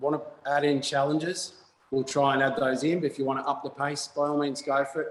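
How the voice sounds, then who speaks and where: Speaking at a fairly quick pace, a man with an Australian accent has a fairly high pitch. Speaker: fitness instructor. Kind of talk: exercise class instruction. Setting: video call. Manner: loud.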